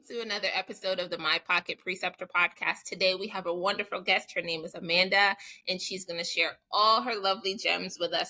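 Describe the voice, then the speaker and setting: A woman talks at a fairly quick pace in a medium pitch. Her tone is bright and sharp. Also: dry, close sound with no echo. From Jamaica. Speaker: podcast host and nurse. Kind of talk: casual interview chat.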